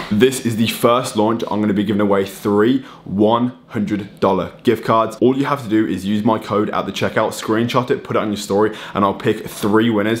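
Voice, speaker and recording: A man speaks at a moderate pace in a normal speaking voice, his pitch fairly low. His intonation stays fairly even, with hardly any pauses. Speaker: vlogger. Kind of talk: casual vlog chat. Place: kitchen. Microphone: phone near.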